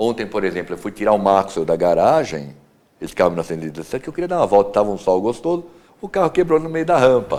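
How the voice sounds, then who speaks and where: Very fast speech from a man, fairly low in pitch, with very wide pitch swings. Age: 60s. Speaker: classic car collector and restorer. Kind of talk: TV interview.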